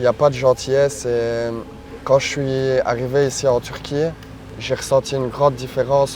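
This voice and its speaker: Against noticeable background noise, a man of medium pitch talks at a moderate pace in a monotone, flat intonation. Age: 20s. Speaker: long-distance cyclist. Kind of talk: interview testimony. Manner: hesitant, many fillers.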